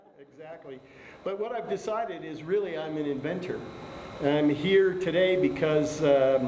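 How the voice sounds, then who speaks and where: A man speaks at a moderate pace with ordinary pitch variation and big swings in loudness. Noticeable background noise and audible room echo are present. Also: fairly high pitch for a man. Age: 70s. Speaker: inventor. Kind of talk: casual talk at a seminar. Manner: halting, with fillers.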